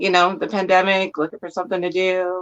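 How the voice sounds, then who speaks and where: A woman speaks against a quiet background. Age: 30s. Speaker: comic reader and community member. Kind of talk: casual interview chat. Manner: hesitant, many fillers.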